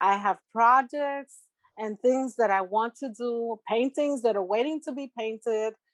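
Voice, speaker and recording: A woman at a very slow pace against a quiet background. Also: dry sound with no echo. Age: 60s. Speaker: artist and tarot reader; interviewee. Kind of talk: interview. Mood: warm, reflective, encouraging. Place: home room. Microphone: video call.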